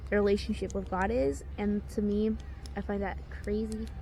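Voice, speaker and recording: A woman is speaking. Audible room echo can be heard. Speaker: social media creator. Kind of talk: casual bible reading and commentary. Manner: halting.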